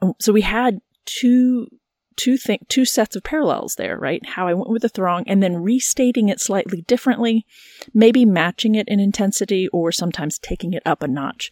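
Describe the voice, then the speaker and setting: A woman's plain, everyday voice, fairly high in pitch with lively intonation, at a moderate pace, dry and close with no echo. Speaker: podcast host and biblical scholar. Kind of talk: casual conversation.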